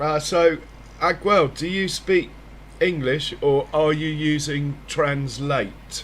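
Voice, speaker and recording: A man with a British accent speaks at a very slow pace, somewhat breathy. His intonation stays fairly even. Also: fairly high pitch for a man. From Britain. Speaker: gaming streamer. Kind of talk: casual live-stream chat.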